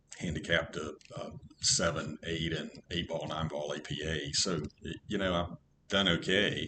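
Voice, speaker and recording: With an American accent, a man talks at a very deep, low pitch and with fairly even intonation. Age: 60s. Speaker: pool student. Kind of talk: casual interview chat.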